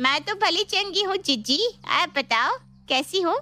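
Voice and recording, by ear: A woman puts on a character voice at an extremely high pitch, bright and sharp in tone. She speaks at a fairly slow pace with lively intonation.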